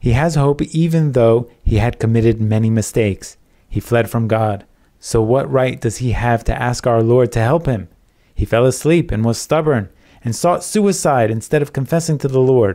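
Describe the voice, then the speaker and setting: A man speaks at a moderate pace in a dark, mellow, warm tone, his loudness very even. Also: medium pitch for a man, ordinary pitch variation. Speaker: preacher. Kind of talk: sermon. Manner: earnest, teaching, reassuring; measured, warm, pastoral.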